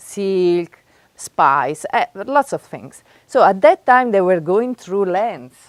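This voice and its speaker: In an Italian accent, a woman speaks at a very slow pace and a medium pitch, her voice swinging very widely in pitch. The sound is dry and close, with no echo. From Italy, Florence. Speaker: professor. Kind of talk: workshop lecture. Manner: animated.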